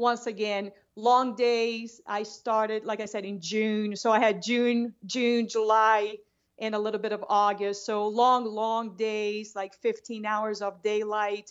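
A woman with a Brazilian accent speaks at a fairly slow pace, her fairly high pitch held in a monotone, flat intonation. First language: Portuguese. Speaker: long-distance hiker. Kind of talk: casual interview.

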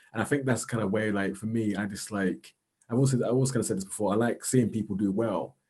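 A man speaks very fast with a South London accent, his pitch fairly low. His tone is dark and mellow, and his pitch varies in an ordinary way. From South London, England. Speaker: social worker and arts organiser. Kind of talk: casual interview chat.

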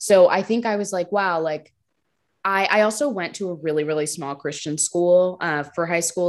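A woman with a normal speaking voice and a fairly low pitch talks at a moderate pace with ordinary pitch variation, in a very clean recording with a silent background. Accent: American. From North Jersey, US. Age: 20s. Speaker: writer, podcast guest. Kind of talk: casual interview chat.

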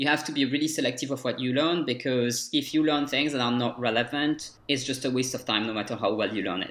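With a French accent, a man speaks at a very fast pace with hardly any pauses. His pitch is medium, with ordinary variation. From France, Dijon. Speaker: French language coach. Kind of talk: interview.

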